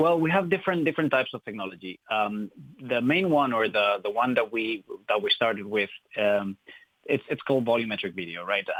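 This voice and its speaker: Speaking at a fairly quick pace with a Spanish accent, a man uses a medium pitch and very wide pitch swings. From Spain. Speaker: tech company co-founder. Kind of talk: radio interview. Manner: hesitant, many fillers.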